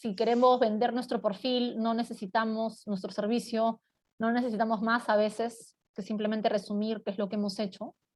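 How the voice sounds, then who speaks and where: A woman with a fairly high voice and fairly even intonation, an ordinary speaking voice, over a quiet background. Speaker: corporate communication and marketing expert. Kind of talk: webinar presentation.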